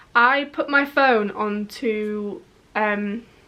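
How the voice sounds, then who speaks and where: A woman with a slight Yorkshire accent speaks with lively intonation. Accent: slight northern English (Yorkshire). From northern England, Yorkshire. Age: 20s. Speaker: YouTube vlogger. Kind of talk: casual vlog storytelling.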